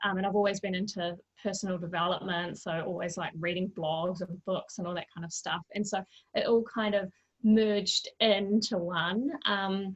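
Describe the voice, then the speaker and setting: A woman with a New Zealand accent talks at a moderate pace, her intonation fairly even. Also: medium pitch for a woman. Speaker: mental wellbeing coach. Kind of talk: interview conversation.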